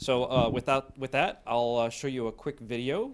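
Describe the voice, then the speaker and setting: A normal speaking voice from a man, at a moderate pace. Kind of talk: introductory remarks. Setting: seminar room.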